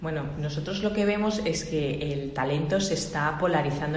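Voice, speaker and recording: A woman with a very deep, low pitch and ordinary pitch variation speaks at a moderate pace, with audible room echo and noticeable background noise. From Spain, Barcelona. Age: 40s. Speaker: tech industry association director. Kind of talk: interview.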